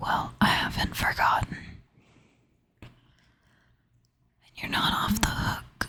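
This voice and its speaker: Whispering at a very slow pace, broken by long, frequent pauses. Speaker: ASMR creator. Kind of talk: ASMR personal storytelling. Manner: soft-spoken half whisper. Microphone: crackling from knocking the microphone.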